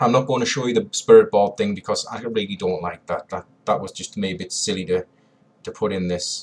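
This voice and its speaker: Big swings in loudness mark this man's speech at a very fast pace. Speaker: paranormal investigator, tech reviewer. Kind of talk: tutorial. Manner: casual, hesitant.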